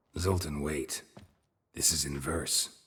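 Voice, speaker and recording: A man puts on a character voice, very deep and raspy, delivered in a deadpan tone. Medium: video game. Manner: terse, deadpan.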